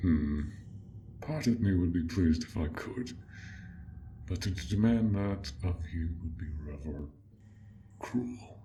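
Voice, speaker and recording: A man puts on a character voice, very deep and low, speaking at a fairly slow pace with long, frequent pauses over clear background noise. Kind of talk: audio role play. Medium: role play. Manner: soft-spoken, polite.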